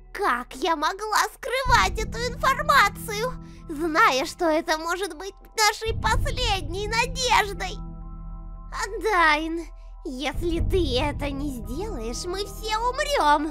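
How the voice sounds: A woman puts on a character voice at an extremely high pitch, with a bright, sharp tone and lively intonation. She speaks slowly, with faint music in the background.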